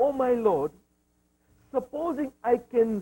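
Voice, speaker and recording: A man speaks with an East African accent, his pitch high but his tone dark and mellow. The sound is dry and close, with no echo. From Zanzibar, Tanzania, East Africa. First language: Swahili. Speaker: Islamic scholar and lecturer. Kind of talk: religious lecture.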